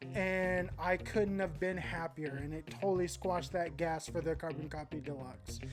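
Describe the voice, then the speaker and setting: Over music in the background, a woman speaks at a moderate pace in a fairly low pitch, with ordinary pitch variation and hardly any pauses. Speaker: guitar gear youtuber. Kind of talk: gear review talk to camera. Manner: enthusiastic, animated.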